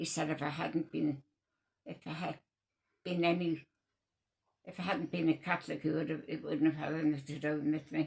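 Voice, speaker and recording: The delivery is a flat monotone broken by long, frequent pauses. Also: woman, very deep, low pitch for a woman. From North East England. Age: 90s; old. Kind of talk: interview answer. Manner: hesitant, slow.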